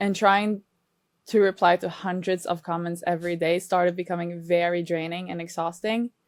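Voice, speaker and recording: In a Norwegian accent, a woman speaks at a moderate pace. Her fairly low voice stays monotone and flat. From Norway. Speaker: reaction video creator. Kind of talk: interview.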